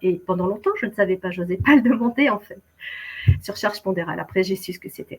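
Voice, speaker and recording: A woman speaks at a very fast pace and medium pitch, somewhat breathy, with lively intonation. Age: 60s. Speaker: keto dieter sharing her story. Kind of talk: testimony. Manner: hesitant, many fillers.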